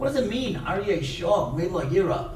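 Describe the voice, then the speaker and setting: Speaking at a fairly slow pace, a man with a high pitch makes very wide pitch swings over noticeable background noise. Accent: American. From Brooklyn, New York. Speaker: rabbi and speaker. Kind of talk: inspirational lecture with stories. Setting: synagogue audience.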